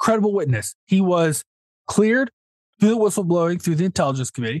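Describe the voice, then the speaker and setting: A man talks at a very fast pace with very wide pitch swings. The sound is dry and close, with no echo. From US South. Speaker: podcast co-host. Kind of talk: casual chat.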